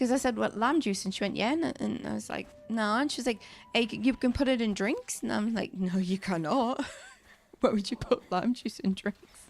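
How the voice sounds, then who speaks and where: With music in the background, a woman speaks at a moderate pace in a fairly high pitch with ordinary pitch variation. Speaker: gaming streamer. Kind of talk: casual chat while gaming. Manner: chatty, animated storytelling.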